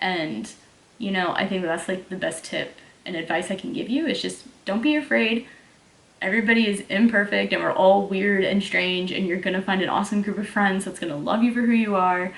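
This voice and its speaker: With a slight Southern US accent, a woman talks at a fairly quick pace and medium pitch with ordinary pitch variation. Noticeable background noise runs behind her. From Texas. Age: 20s. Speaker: fitness YouTuber and online coach. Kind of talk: casual Q&A vlog. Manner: casual, filler-heavy.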